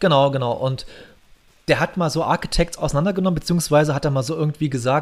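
A somewhat breathy man, fairly high-pitched and very fast. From Saxony, eastern Germany (Bautzen). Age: 30s. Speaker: podcast host, hobby drummer. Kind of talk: casual chat.

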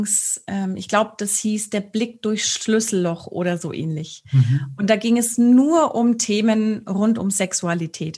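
Her pace is very slow. The woman's voice is somewhat breathy, at a medium pitch. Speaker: sex coach and speech therapist. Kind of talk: casual interview. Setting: studio video recording.

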